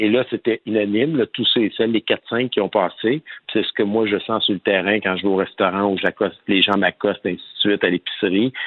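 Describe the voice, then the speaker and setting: A man speaks at a moderate pace in a fairly low pitch with a plain, everyday voice. His intonation stays fairly even. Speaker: politician. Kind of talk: interview.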